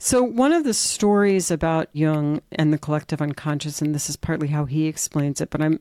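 A woman's very deep, low voice at a moderate pace, with ordinary pitch variation, in a dry, close recording with no echo. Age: 50s. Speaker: Jungian analyst and podcast host. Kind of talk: conversational interview.

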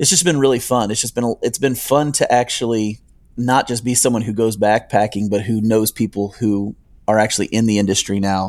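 With an American accent, a man talks at a fairly quick pace in an unremarkable speaking voice of medium pitch, captured in a very clean recording with a silent background. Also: ordinary pitch variation. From northern Ohio and upstate New York. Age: 40s. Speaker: hiker and YouTuber. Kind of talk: interview.

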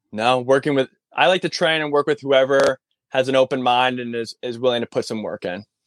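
In an unremarkable speaking voice, a man with an American accent talks at medium pitch with ordinary pitch variation, recorded dry and close with no echo. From Massachusetts, near Concord. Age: 30s. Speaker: military veteran and personal trainer. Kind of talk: casual interview. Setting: in his van, remote call.

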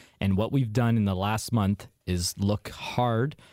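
Fairly low, dark, mellow male voice with fairly even intonation in an Ontario accent. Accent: Canadian (Ontario). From Hamilton, Ontario, Canada. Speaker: used car dealer. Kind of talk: radio call-in advice.

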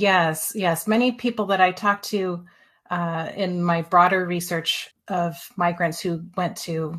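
A woman talks in a plain, everyday voice at a fairly low pitch. Her pace is fairly slow and her intonation fairly even. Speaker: historian. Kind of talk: interview.

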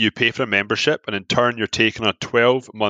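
With a Glaswegian accent, the voice has a bright, sharp tone and keeps a moderate pace. The sound is dry and close with no echo, over a quiet background. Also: man. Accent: Scottish, Glaswegian. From Scotland. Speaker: app founder. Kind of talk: casual interview chat.

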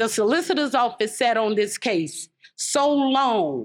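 Speaking very slowly, a woman uses a fairly high pitch with vocal fry. She has an American accent. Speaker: murder victim's mother. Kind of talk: speech. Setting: outdoors.

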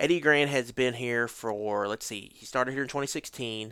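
In a very clean recording with a silent background, a man with a normal speaking voice talks fairly quickly at a medium pitch with fairly even intonation. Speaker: football podcast host. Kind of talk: casual chat.

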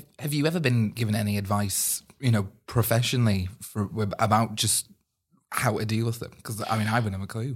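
On a very clean recording with a silent background, a somewhat breathy voice moves at a fairly quick pace broken by long, frequent pauses. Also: man, medium pitch for a man, fairly even intonation. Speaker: podcast co-host. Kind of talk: casual podcast interview.

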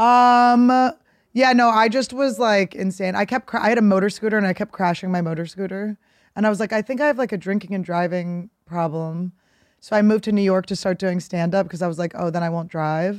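A woman with an American accent talks in an ordinary speaking voice at a fairly quick pace. Her pitch is medium with ordinary variation, on a very clean recording with a silent background. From Philadelphia. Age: 30s. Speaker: comedian. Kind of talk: casual chat.

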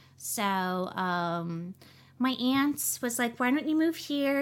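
Very slowly but with lively intonation, a woman with an American accent speaks on a very clean recording with a silent background. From US South, New Orleans (Metairie). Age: 30s. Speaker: actress and comedian. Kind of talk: casual interview.

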